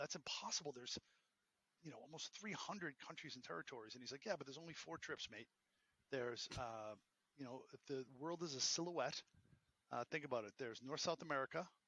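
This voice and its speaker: Talking very fast yet with long, frequent pauses, a man with a fairly high-pitched voice speaks in a Boston accent. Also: ordinary pitch variation. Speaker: entrepreneur and professor. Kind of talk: interview. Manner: animated.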